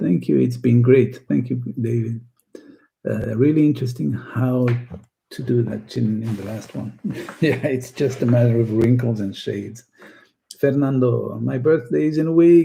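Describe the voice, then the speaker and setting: A man of medium pitch speaks at a moderate pace with ordinary pitch variation and a dark, mellow, somewhat breathy tone. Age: 60s. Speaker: art teacher. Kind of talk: live stream chat. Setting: live stream.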